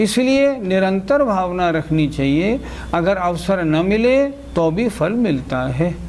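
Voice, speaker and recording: A man speaks in a high pitch with lively intonation and very even loudness. Room echo is audible, and there is noticeable background noise. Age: 60s. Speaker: Jain scripture teacher. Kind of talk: religious lecture. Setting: class with students.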